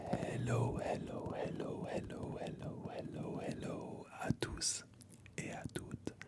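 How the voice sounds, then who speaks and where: A man whispers at a very slow pace. Noticeable background noise runs behind him. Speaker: ASMR creator. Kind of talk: ASMR video game collection show-and-tell. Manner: whispered.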